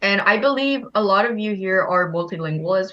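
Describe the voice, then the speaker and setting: Woman at medium pitch and moderate pace, with ordinary pitch variation. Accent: Korean. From Korean, raised in Thailand. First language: Korean. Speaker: game participant sharing her background. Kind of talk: casual group chat.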